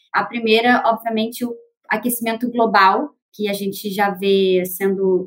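A woman with a Rio de Janeiro accent speaks with fairly even intonation. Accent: Carioca Brazilian Portuguese. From Rio de Janeiro, Brazil. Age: 30s. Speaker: market researcher. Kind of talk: panel discussion.

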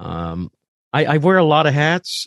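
Here a man talks at a fairly slow pace with a Midwestern American accent. His pitch swings very widely, and the sound is dry and close with no echo. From US Midwest, southern Indiana. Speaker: pastor. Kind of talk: casual chat. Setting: video call.

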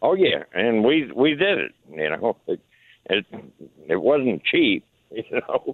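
Speaking with a Southern US accent, a man moves at a very slow pace with long, frequent pauses. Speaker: caller. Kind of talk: casual chat. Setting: phone call.

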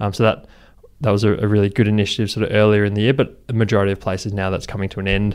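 Here a man speaks at a very fast pace. His intonation stays flat and monotone. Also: fairly low pitch for a man. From Brisbane, Australia. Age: 20s. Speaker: charity co-founder. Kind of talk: interview. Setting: office.

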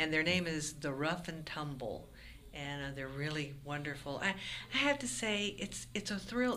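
This woman's voice sits very deep and low, with ordinary pitch variation and audible echo from the room. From Florida Panhandle. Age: 60s. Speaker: folk musician. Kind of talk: interview.

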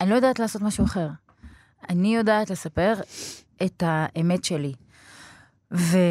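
In an Arabic accent, a woman with a medium pitch speaks with long, frequent pauses. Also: ordinary pitch variation, moderate pace. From Israel, Beersheba. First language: Arabic (speaking Hebrew). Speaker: film director and screenwriter. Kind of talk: interview.

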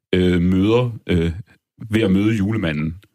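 Over a silent background in a very clean recording, a man speaks at a fairly low pitch with ordinary pitch variation. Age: 30s. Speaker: music critic and writer. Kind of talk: casual chat.

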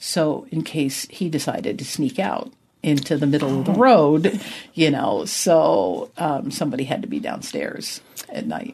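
In an American accent, a woman with a very deep, low pitch and a dark, mellow tone uses vocal fry and very wide pitch swings. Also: moderate pace. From New Jersey, US. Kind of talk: testimony.

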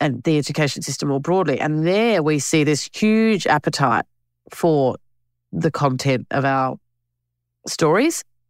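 A woman with an Australian accent speaks very slowly in a very deep, low voice with lively intonation, recorded dry and close with no echo, very cleanly against a silent background. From Australia (Alice Springs and Canberra). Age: 50s. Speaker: filmmaker and campaign co-chair. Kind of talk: interview.

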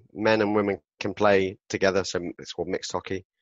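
A man speaks with a southern English accent. His pitch is fairly low. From southern England, Southampton. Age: 40s. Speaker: author and public speaker. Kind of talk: interview conversation.

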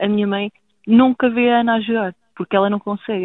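Her pitch fairly high, a woman with a normal speaking voice moves along at a fairly quick pace, keeping her intonation fairly even. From rural Portugal. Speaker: footballer's sister. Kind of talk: interview.

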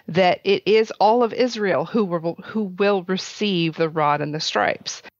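A woman with a medium-pitched, unremarkable speaking voice talks fairly slowly with lively intonation. The sound is dry and close with no echo, over a quiet background. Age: 40s. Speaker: author. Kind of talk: casual chat.

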